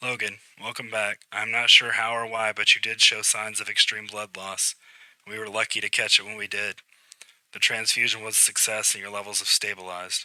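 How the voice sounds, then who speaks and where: Putting on a raspy character voice at a medium pitch, a man talks at a fairly quick pace with flat, monotone intonation and big swings in loudness. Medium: read story. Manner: measured, professional.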